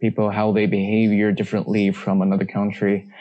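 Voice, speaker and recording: A man's fairly low-pitched voice with a Chinese accent and monotone, flat intonation. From China. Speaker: management consultant. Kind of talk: casual interview chat. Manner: halting.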